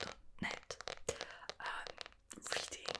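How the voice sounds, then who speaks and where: The words come fairly slowly from a whispering woman. Background noise is clearly audible. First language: not English. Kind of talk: ASMR book review, casual chat to camera. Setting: home recording with a Blue Yeti mic. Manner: whispered, soft, close to the mic.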